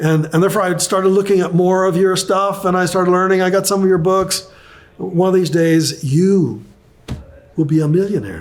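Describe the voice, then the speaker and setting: This man's voice sits at a high pitch, and his loudness stays very even. Room echo can be heard. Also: moderate pace. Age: 70s. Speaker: real estate investor and author. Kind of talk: interview. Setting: studio. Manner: animated.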